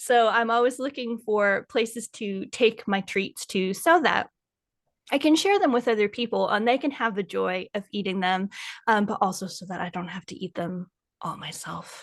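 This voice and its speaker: A woman with an American accent and a normal speaking voice talks at a moderate pace with a fairly high pitch, ordinary pitch variation and big swings in loudness, in a dry, close sound with no echo against a quiet background. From United States. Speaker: food blogger and kitchen witch. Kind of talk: casual interview chat.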